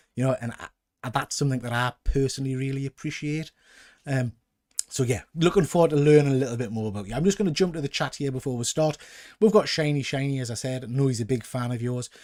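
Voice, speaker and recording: Talking very fast in a strong Geordie accent, a man keeps an animated tone with ordinary pitch variation. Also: medium pitch for a man. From northern England, Newcastle. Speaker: YouTube comics collector host. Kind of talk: casual interview chat. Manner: animated, chatty.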